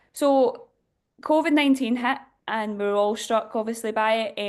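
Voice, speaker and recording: The speaker is a woman with a Glasgow accent. The background is quiet. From Scotland, Glasgow; moved to Ireland at eleven. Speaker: diocesan youth director. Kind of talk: workshop talk. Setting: Zoom video call.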